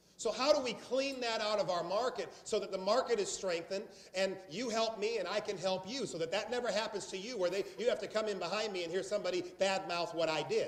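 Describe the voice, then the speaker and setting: A man's high, animated voice with an American accent, very fast with hardly any pauses, amid audible room echo and noticeable background noise. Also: ordinary pitch variation. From South Carolina. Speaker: sales trainer. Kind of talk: training seminar.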